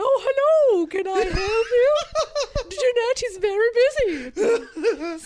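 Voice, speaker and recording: A put-on character voice talks in an extremely high pitch at a very slow pace. Clear background noise is present. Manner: haughty, snooty.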